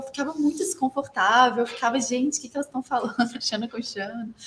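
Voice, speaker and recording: At a moderate pace, a woman talks. Her high pitch moves with ordinary variation. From Brazil, Belo Horizonte, Minas Gerais. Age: 20s. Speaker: filmmaker. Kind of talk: interview.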